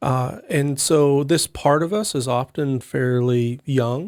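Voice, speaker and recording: The sound is dry and close, without any echo. A man talks with an American accent. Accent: slight Texas accent, comes back occasionally. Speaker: podcast co-host, enneagram coach. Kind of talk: podcast panel discussion.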